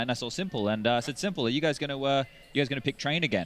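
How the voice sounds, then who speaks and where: A man talks at a very fast pace with an Australian accent. His pitch sits at a medium level. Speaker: esports commentator. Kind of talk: live commentary.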